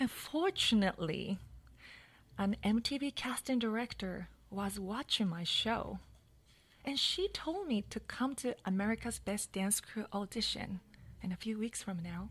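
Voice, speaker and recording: The speaker is a woman with a Japanese accent. She talks at a fairly slow pace. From Japan, Hokkaido. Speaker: dancer and storyteller. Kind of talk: personal storytelling.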